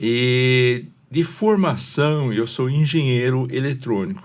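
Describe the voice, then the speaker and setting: A man's medium-pitched voice at a very slow pace. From China (Shanghai). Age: 70s. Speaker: retired engineer and pastor. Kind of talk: interview.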